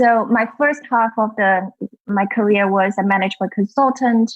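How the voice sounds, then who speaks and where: A voice with a Chinese accent and fairly even intonation. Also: woman. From China. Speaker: culture and leadership consultant, author. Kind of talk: interview.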